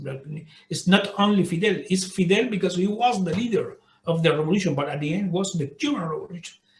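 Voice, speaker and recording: There is audible room echo as a man speaks in a high pitch with ordinary pitch variation. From Cuba. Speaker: diplomat. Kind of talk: interview. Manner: halting, many repetitions.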